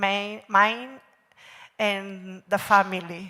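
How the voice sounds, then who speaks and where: A woman's bright, sharp tone in a Catalan accent, at a very slow pace. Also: very clean recording, silent background. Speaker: panel moderator. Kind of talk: panel moderation. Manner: halting.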